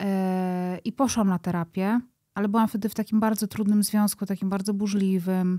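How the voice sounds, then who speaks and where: A woman with a dark, mellow tone speaks at a moderate pace with monotone, flat intonation and very even loudness. The sound is dry with no echo, and the background is quiet. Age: 30s. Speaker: podcast creator. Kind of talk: interview conversation. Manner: halting. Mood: reflective, personal, candid. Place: studio. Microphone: studio mic.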